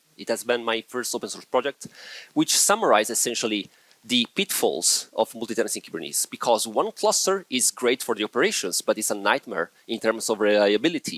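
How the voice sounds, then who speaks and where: A man with an Italian accent talks at a fairly quick pace, the sound dry and close with no echo. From Italy. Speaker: software engineer, conference speaker. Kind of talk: conference talk.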